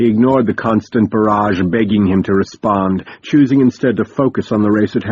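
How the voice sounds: A natural reading voice with ordinary pitch variation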